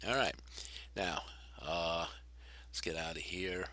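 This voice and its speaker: A man's very deep, low voice with a bright, sharp tone, vocal fry, and ordinary pitch variation. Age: 60s. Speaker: gaming video creator. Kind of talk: gameplay tutorial. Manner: halting, many fillers.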